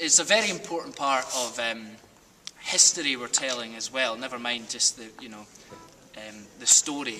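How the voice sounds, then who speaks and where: Over music in the background, a man with a West Highland Scottish accent talks fairly quickly at a medium pitch with ordinary pitch variation. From Scotland, Argyll. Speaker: stage actor. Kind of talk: casual interview.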